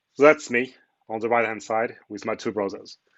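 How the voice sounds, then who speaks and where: Speaking at a moderate pace, a man with a French accent uses a medium pitch. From France. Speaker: cloud architect, conference speaker. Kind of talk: conference talk.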